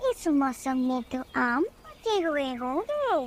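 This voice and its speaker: A female-sounding, cartoonish character voice, high in pitch, speaks at a very slow pace over clear background noise. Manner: coquettish.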